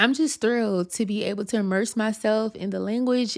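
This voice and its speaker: A woman's animated voice with a Louisiana accent, fairly high in pitch, with ordinary pitch variation, at a moderate pace, on a very clean recording with a silent background. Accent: Louisiana US Southern. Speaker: YouTuber. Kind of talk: vlog monologue.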